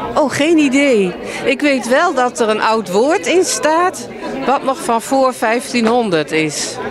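A woman at a high pitch with very wide pitch swings and a very slow pace, in a dry sound with no echo and noticeable background noise. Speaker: book author. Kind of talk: interview answer. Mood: friendly, relaxed. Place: hall. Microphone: handheld.

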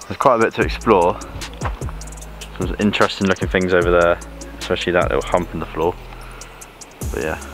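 Over clear music in the background, a man talks at a very fast pace in a very deep, low pitch. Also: dry sound with no echo. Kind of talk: casual vlog chat. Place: open country. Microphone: phone near.

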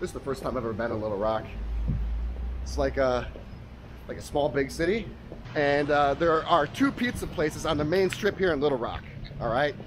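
A man talks at a fairly quick pace, his voice dry with no echo against noticeable background noise. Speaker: food travel vlogger. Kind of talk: casual vlog chat. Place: street. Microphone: phone near.

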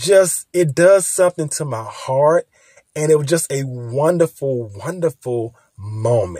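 Lively in intonation and somewhat breathy, the voice comes through dry with no echo over a quiet background. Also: man. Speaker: content creator. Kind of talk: casual vlog chat. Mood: warm, joyful. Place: home room. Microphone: phone near.

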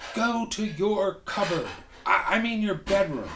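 Over clear background noise, a man puts on a wheezy, high-pitched character voice and speaks fairly slowly. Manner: wheezing, gasping.

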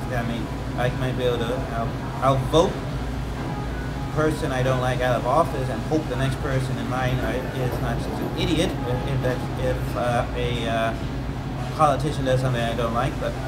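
A man at a moderate pace over music in the background. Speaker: personal vlogger. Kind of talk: casual vlog chat. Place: home room.

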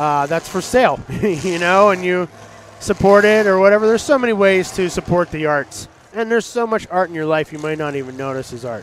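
Over noticeable background noise, a man talks at a fairly quick pace with a high pitch and lively intonation. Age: 40s. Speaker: artist. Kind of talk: casual chat.

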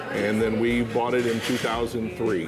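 Noticeable background noise runs through the clip. A man speaks at a fairly quick pace. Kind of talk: interview answer. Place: cafe. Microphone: lapel.

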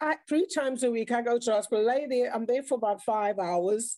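A woman with a South African accent speaks at a fairly quick pace, her high voice dark and mellow with ordinary pitch variation. The background is quiet and the sound is dry, with no echo. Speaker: speaker sharing mental health experience; speaker. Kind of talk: online round table talk. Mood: earnest, reflective. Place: home room. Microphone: video call.

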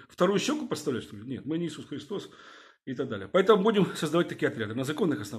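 A man speaks very fast with lively intonation. His voice is somewhat breathy over a quiet background. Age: 50s. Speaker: video blogger, former security officer; video blogger. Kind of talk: video address to viewers. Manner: hesitant, filler-heavy. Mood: indignant, urging. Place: home room. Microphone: phone near.

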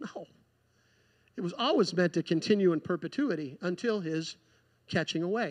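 Against a quiet background, a high-pitched man speaks at a moderate pace with lively intonation and long, frequent pauses. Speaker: preacher. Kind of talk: sermon. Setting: church. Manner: earnest, pleading, fervent. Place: church.

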